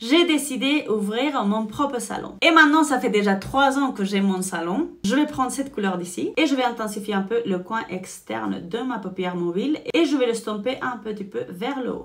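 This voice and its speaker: Over noticeable background noise, a woman speaks at a moderate pace and fairly high pitch in an animated tone with lively intonation and hardly any pauses. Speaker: beauty vlogger and salon owner. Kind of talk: makeup tutorial with personal chat.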